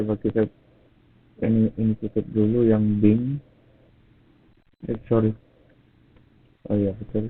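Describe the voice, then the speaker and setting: A man talks very slowly, with long, frequent pauses. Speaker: tech youtuber. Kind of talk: tutorial. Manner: low energy.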